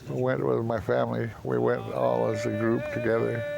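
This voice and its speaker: A man amid noticeable background noise, with audible room echo. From North Cascades area, Washington. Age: 70s. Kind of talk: interview reminiscence. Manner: halting.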